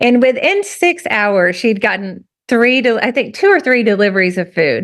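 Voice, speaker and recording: In a strong rural Southern US accent, a woman speaks in an animated tone. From US South, rural. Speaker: writer. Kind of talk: conversational interview, storytelling.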